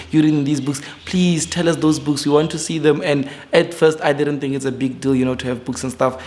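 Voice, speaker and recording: Talking at a very fast pace, a man with a fairly high pitch is heard through noticeable background noise. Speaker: forex trader and YouTuber. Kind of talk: casual vlog talk to camera. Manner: hesitant with fillers and repetitions.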